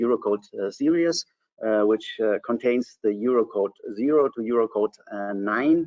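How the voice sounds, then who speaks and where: The speaker is a man at a medium pitch. He goes at a moderate pace. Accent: German. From Germany. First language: German. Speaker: civil engineer. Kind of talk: technical webinar presentation. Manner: hesitant, many fillers.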